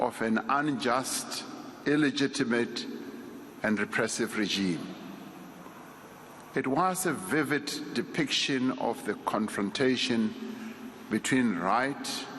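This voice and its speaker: There is noticeable background noise behind this speaker. A man talks at a very slow pace with a medium pitch. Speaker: eulogy speaker, state leader. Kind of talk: eulogy delivered at a funeral service. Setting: memorial service speech.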